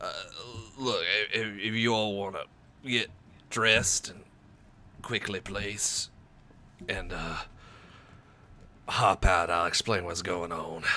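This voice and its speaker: Putting on a raspy character voice, a man talks at a fairly slow pace with a fairly low pitch. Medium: actual play. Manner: halting, reassuring.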